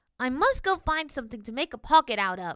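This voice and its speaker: Using a put-on character voice, a woman talks at a very fast pace and a high pitch, with very wide pitch swings. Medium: read story. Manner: wide-eyed, wondering.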